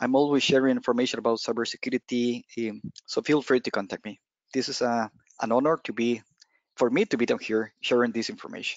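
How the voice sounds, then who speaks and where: Over a quiet background with dry sound and no echo, a man with a Spanish accent speaks at a fairly quick pace with fairly even intonation. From Costa Rica. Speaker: penetration tester, cloud security specialist; presenter. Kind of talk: technical presentation. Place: home room. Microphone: headset.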